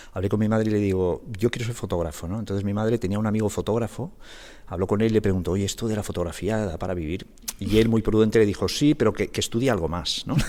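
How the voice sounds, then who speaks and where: Speaking at a very fast pace, a man with a fairly low pitch and a dark, mellow tone shows ordinary pitch variation. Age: 60s. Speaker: graphic designer and solo sailor. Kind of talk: podcast interview. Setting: guest's own studio. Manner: halting, with frequent repetitions.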